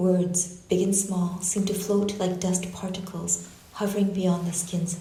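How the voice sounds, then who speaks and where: Against noticeable background noise and audible room echo, a woman with a medium pitch talks at a fairly slow pace in a monotone, flat delivery. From Canada. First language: Japanese. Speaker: artist and university researcher. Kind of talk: lecture reading a prepared text. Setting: lecture hall with audience and online stream. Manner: measured, reflective.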